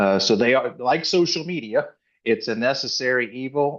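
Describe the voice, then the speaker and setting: A man has an ordinary speaking voice with a fairly high pitch. His pitch variation is ordinary. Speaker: retired federal agent and divorce coach. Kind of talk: presentation.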